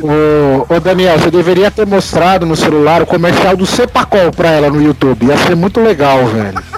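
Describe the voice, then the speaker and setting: With noticeable background noise behind him, a man talks at a moderate pace in a high pitch, with lively intonation, very even loudness and hardly any pauses. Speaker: podcast co-host. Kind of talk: casual chat. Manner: animated.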